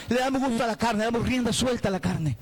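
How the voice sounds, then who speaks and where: An animated man with ordinary pitch variation over noticeable background noise. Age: 60s. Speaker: pastor. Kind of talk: sermon.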